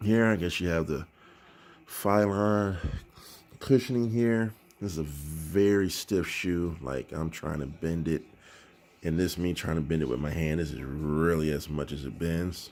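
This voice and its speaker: A man's very deep, low voice at a fairly slow pace, with ordinary pitch variation, in a very clean recording with a silent background. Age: 40s. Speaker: sneaker reviewer. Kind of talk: product review. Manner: casual, hesitant with many fillers.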